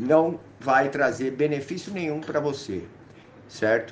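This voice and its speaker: With audible room echo around him, a man talks at a fairly slow pace in a fairly high pitch for a man. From São Paulo city, north zone (Brasilândia). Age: 40s. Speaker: former drug user sharing recovery story. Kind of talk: testimony.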